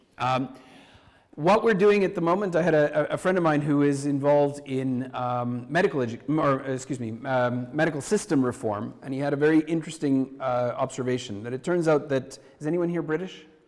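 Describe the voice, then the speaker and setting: A man speaks at a fairly quick pace with a Canadian accent and a fairly high pitch. His pitch variation is ordinary, and there is noticeable background noise. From Canada. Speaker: university professor and deputy minister. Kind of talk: conference talk. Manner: halting, many fillers and restarts.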